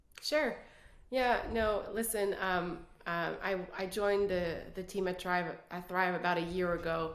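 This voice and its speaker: Amid audible room echo, a woman talks at a fairly slow pace and a medium pitch with ordinary pitch variation. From Quebec City, Canada. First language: French. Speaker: business executive. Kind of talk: casual interview.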